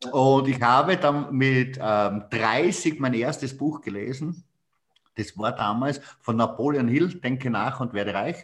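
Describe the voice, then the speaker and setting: The speaker goes at a very slow pace with ordinary pitch variation. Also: man, medium pitch for a man. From Styria, Austria. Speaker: sales trainer. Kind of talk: casual chat.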